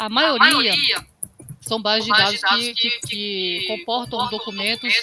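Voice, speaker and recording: With noticeable background noise behind her, a woman speaks very slowly in a fairly high voice with ordinary pitch variation. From Brazilian Northeast. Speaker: university librarian instructor. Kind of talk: online training tutorial.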